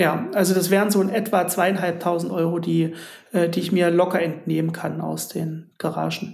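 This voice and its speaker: A man speaks in a high pitch with monotone, flat intonation. Audible room echo surrounds his voice. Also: moderate pace. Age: 30s. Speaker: insurance broker and garage investor. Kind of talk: interview.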